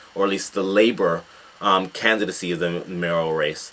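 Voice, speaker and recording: A man with an American accent against noticeable background noise. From United States. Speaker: political commentator. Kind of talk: video commentary. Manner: halting, many fillers.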